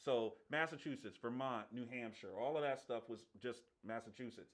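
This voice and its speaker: With an American accent, a man talks at a moderate pace in a normal speaking voice, his intonation fairly even. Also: medium pitch for a man. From Washington DC area, Prince George's County, Maryland. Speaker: sports podcast host. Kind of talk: casual chat. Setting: live stream.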